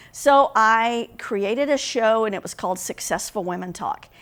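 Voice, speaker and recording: With a Southern US accent, a woman speaks in a fairly high voice full of lively intonation. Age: middle-aged. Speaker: business leader and consultant. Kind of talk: vlog monologue. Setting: home recording. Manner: casual.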